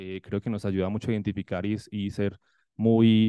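Here is a man with a fairly low pitch. He has a normal speaking voice and keeps a moderate pace. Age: 30s. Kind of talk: conference presentation.

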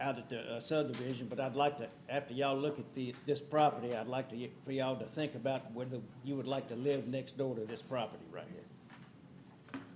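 With an American accent, a man speaks at a fairly quick pace and with fairly even intonation, with audible room echo and noticeable background noise. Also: medium pitch for a man. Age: 70s. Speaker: homeowners association board member. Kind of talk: public comment at council meeting. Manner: halting.

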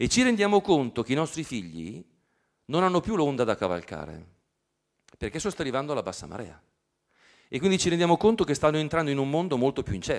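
Over a quiet background, a man with a fairly high pitch talks at a very fast pace, his pitch swinging very widely. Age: 50s. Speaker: professor. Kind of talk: lecture. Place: hall. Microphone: handheld.

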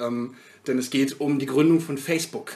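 A man at a fairly high pitch amid noticeable background noise. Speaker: film podcast co-host. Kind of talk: casual chat.

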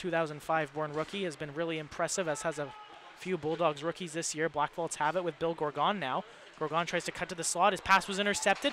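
Fairly quick speech in a dry sound with no echo, over light background noise. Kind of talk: live sports commentary. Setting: broadcast of a hockey game. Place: stadium. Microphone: headset.

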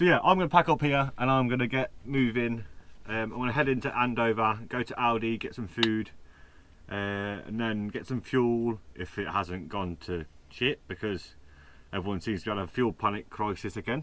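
A man at a moderate pace, ordinary pitch variation, dry sound with no echo. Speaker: van life vlogger. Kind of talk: casual vlog chat. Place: home room. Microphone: phone near.

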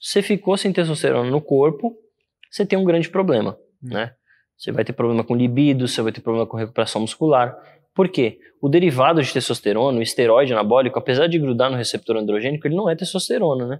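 At a very fast pace, a man talks. His pitch is medium. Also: lively intonation. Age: 20s. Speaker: fitness and hormone specialist; interview guest. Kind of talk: casual interview. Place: gym.

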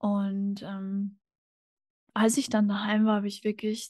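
The voice is dark and mellow, somewhat breathy and very slow, with a dry sound and no echo. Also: woman, quiet background. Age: 20s. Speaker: podcast guest. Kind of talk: casual interview conversation. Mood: calm, reflective. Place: home room. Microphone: studio mic.

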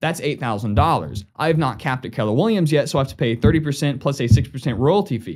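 With lively intonation and a somewhat breathy voice, a man speaks at a moderate pace and medium pitch, hardly pausing, against a quiet background. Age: 20s. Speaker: real estate agent. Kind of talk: sales pitch. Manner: casual. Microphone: studio mic.

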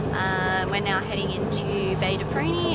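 A woman's voice under loud background noise. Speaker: sailing vlogger. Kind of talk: casual vlog chat. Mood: relaxed and cheerful. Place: boat. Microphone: phone near.

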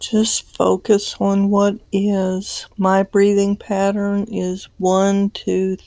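A woman speaks in a gentle, calm tone at a very slow pace, the sound dry with no echo and the background quiet. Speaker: meditation guide. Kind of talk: guided meditation. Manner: gentle, calm, unhurried, reassuring; relaxed and encouraging. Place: home room.

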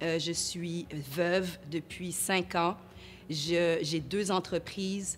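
Light background noise sits behind a woman with a fairly low voice. She speaks in a monotone with flat intonation. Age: 40s. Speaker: entrepreneur; interviewee. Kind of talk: interview testimony; interview answer. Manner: halting. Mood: earnest, sometimes smiling. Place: studio. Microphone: lapel.

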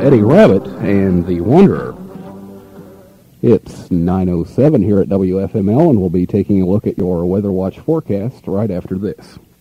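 Over music in the background, a man with a fairly low pitch talks in an American accent, the sound dry with no echo. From Midwestern US. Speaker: radio announcer. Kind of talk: radio DJ air check. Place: studio. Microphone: old recording.

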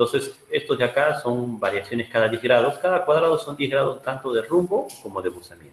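Over light background noise and audible room echo, a man talks fairly quickly with ordinary pitch variation. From Peru, Áncash highlands; Peru. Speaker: geologist, rock mechanics engineer; webinar presenter. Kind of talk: lecture; Q&A answers. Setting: video call. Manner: halting. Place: home room.

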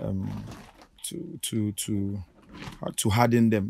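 A man speaks with a fairly low pitch and a slightly mellow tone. There is vocal fry, and his pitch moves very little.

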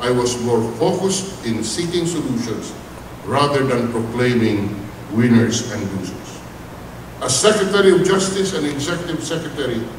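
At a moderate pace, the voice comes with audible room echo and noticeable background noise. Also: man. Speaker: speaker. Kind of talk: formal commencement speech. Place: hall. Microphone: podium.

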